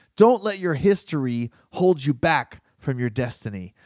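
A man speaks in an animated, fairly high-pitched voice with very wide pitch swings on a very clean recording with a silent background. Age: 30s. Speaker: podcast host and personal development author. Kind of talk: motivational monologue.

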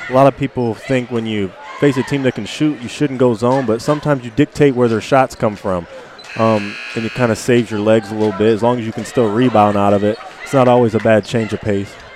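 Speech at a fairly quick pace with ordinary pitch variation plays over noticeable background noise. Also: man. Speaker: color commentator and basketball official. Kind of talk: casual co-commentary during live game.

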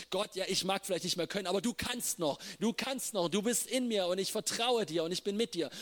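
Against noticeable background noise, a man with a high voice speaks at a fairly quick pace in an animated tone, with very even loudness and a dry, close sound with no echo. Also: ordinary pitch variation, hardly any pauses. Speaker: preacher. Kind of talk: sermon. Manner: halting.

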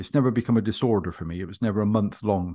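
A man speaks in a West Country accent at a fairly low pitch. His pitch varies in an ordinary way, and the background is quiet. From West Country, England. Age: 50s. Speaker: hypnotherapist and former police officer. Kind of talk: interview.

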